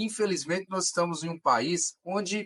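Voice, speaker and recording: The recording is dry and close, without any echo. A man's words come at a fairly slow pace. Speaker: podcast host. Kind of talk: podcast interview hosting.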